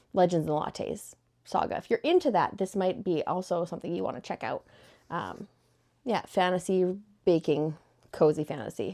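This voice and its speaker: Over a silent background in a very clean recording, a woman of medium pitch speaks at a moderate pace with a dark, mellow tone, vocal fry, ordinary pitch variation, and long, frequent pauses. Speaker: book vlogger. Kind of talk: casual chat.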